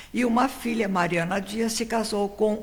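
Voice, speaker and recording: A woman's fairly high-pitched voice is heard over noticeable background noise. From Piracicaba, São Paulo state, Brazil. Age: 80s+. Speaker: local historian interviewee. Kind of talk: life-story interview.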